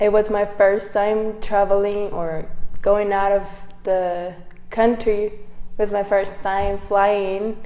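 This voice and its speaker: A woman with a Mexican accent, medium pitch and a dark, mellow tone, monotone and flat, at a very slow pace, with audible room echo. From Mexico, Baja California. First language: Spanish. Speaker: missionary. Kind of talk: testimony. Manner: halting.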